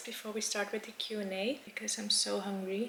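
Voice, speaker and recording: Noticeable background noise sits behind a woman speaking with a Dutch accent. Her voice is medium in pitch with fairly even intonation. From Netherlands. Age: 20s. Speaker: YouTuber. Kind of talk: casual chat.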